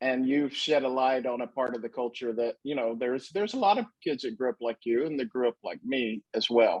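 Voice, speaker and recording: A man speaks at a fairly quick pace with a medium pitch, ordinary pitch variation, and hardly any pauses. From US South, Marietta, Georgia. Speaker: interviewer. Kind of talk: interview.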